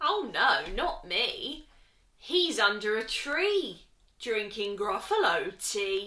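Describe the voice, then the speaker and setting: In a put-on character voice, a woman speaks at a fairly high pitch and a very slow pace, her pitch swinging very widely. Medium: read story. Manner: sly.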